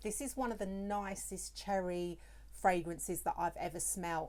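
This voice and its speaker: A woman with a British accent at a moderate pace. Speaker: perfume reviewer, beauty YouTuber. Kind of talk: product review vlog.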